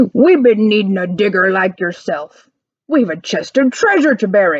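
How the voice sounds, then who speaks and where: A put-on character voice, growling at a moderate pace. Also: woman, medium pitch for a woman. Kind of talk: pirate speech. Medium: read story. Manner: loud, bellowing.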